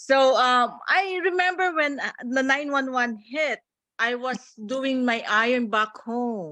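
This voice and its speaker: A woman's high, bright, sharp voice, raised and projected, with lively intonation, a Filipino accent and a very slow pace. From Philippines. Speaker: ICU nurse. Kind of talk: panel discussion. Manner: halting.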